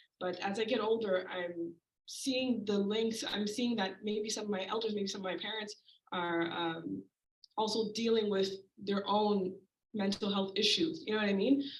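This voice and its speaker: A woman's normal speaking voice, medium in pitch, at a moderate pace with ordinary pitch variation. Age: 20s. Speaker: audience member asking a question. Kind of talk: audience question. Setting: community event with audience.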